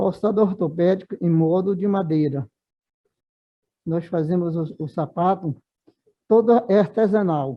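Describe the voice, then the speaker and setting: Speaking high for a man, he lets his pitch vary in an ordinary way. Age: 70s. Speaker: orthopedic shoemaker, former leprosy patient. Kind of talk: seminar talk. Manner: halting.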